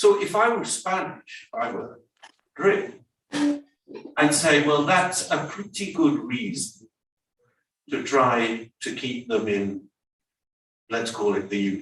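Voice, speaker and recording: A man with an English accent, fairly high-pitched with vocal fry and very wide pitch swings, at a very slow pace with long, frequent pauses. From England. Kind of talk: panel discussion comment. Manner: animated.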